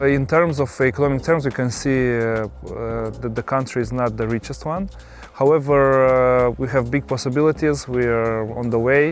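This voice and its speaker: A man with a Moldovan accent at medium pitch, moderate pace and fairly even intonation, with music in the background. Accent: Moldovan Romanian accent in English. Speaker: winemaker. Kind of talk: interview. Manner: halting, many fillers.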